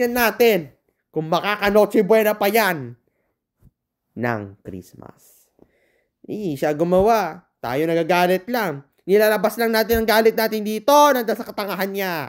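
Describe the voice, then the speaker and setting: A woman's medium-pitched voice, animated and lively in intonation, at a moderate pace on a very clean recording with a silent background. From Philippines, Ilocos region. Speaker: vlogger. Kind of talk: angry political rant. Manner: animated, cursing outbursts.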